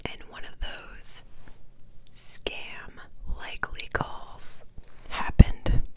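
A woman is whispering at a very slow pace. Her speech has long, frequent pauses. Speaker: ASMR creator. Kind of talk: casual talk to camera. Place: home room. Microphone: lapel.

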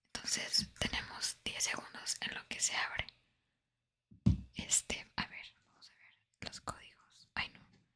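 A woman's fairly slow whispering, with big swings in loudness and long, frequent pauses. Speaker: ASMR content creator. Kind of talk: casual talk to camera, gameplay commentary. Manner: whispered, soft-spoken. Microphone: studio mic.

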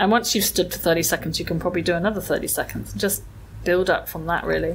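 A woman speaks with vocal fry in an English accent. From England. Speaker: mindfulness and well-being expert. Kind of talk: interview.

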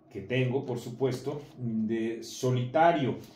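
Here a man's medium-pitched voice carries audible room echo along with light background noise. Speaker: magazine commentator. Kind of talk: casual video commentary. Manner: hesitant with many fillers. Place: home room. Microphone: camera far.

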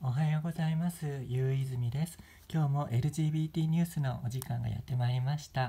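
A man speaks at a moderate pace in a fairly high pitch, his dark, mellow tone somewhat breathy and his intonation fairly even. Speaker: YouTuber. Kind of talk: news commentary vlog. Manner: polite, formal.

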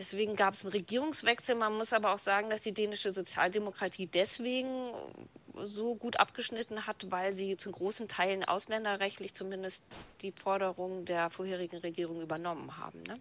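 Fairly quick delivery with fairly even intonation and a dry sound with no echo. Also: woman. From North Frisia, northern Germany. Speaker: left-wing activist and party official. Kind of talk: interview. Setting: video call.

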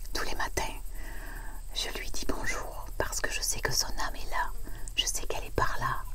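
Loud background noise fills the clip. Over it, a woman speaks at a fairly slow pace. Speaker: vlogger. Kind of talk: casual vlog chat. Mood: tender, grieving, reflective. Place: waterside. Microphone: lapel.

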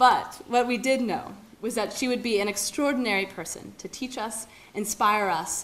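Ordinary pitch variation and a moderate pace from a woman. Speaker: event host introducing speaker. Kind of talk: formal introduction speech. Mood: warm, lightly humorous. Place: hall. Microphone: podium.

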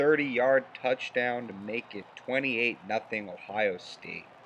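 While a man talks, noticeable background noise can be heard. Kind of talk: sports recap narration. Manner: brisk, clipped play-by-play delivery; formal, even broadcaster tone.

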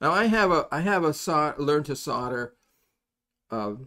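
A man talks at a fairly slow pace with a bright, sharp tone. His voice is fairly high-pitched, with lively intonation.

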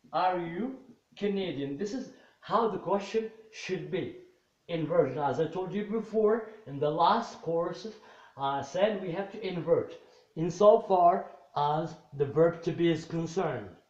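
With audible room echo, a man talks at a fairly slow pace in a high pitch, with ordinary pitch variation. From Morocco. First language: Moroccan Arabic. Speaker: English teacher. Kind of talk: lecture. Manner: halting. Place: home room. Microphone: camera far.

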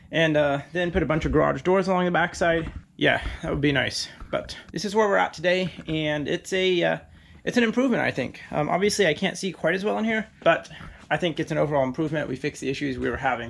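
A man talking very fast with lively intonation over light background noise. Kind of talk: casual vlog chat. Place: workshop. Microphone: phone near.

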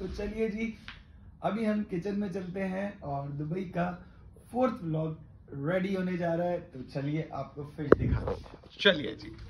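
The speech is very slow, with ordinary pitch variation and noticeable background noise. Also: man, high pitch for a man. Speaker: vlogger. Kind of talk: casual vlog chat.

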